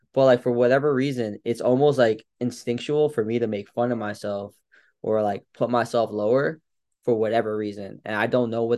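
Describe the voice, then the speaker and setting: A man speaks at a fairly quick pace and medium pitch with fairly even intonation against a quiet background. It is an unremarkable speaking voice. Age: 30s. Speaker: strength coach. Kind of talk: casual chat.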